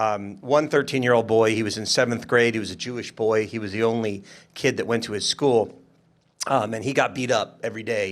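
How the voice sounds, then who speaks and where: Medium in pitch, a man talks at a fairly quick pace. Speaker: state legislator. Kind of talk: panel discussion. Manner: loud.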